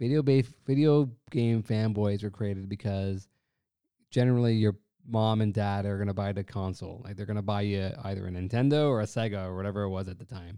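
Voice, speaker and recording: A man with a Canadian accent uses a normal speaking voice at a fairly low pitch. He talks at a fairly quick pace with fairly even intonation. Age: 30s. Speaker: sports fan podcast guest. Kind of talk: casual chat.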